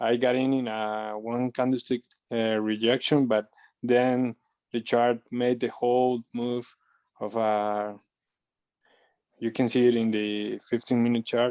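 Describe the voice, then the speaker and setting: The speaker has a non-native accent and talks at a fairly slow pace. Long, frequent pauses break up the speech. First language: not English. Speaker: webinar participant. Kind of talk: question in webinar. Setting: online webinar. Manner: halting, many hesitations.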